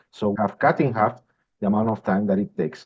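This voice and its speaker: A man's medium-pitched voice with a strong Spanish accent, at a fairly quick pace. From Spain. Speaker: industrial systems manager. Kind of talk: interview. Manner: halting, with repetitions.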